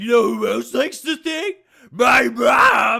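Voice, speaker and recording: A man shouting in a put-on character voice. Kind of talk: silly, comedic. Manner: loud, brash, boastful.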